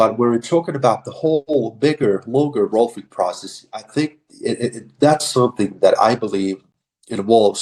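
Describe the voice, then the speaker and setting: This man has a Finnish accent. He talks at a moderate pace. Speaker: rolfer and physiotherapist. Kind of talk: podcast interview. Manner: halting, many fillers.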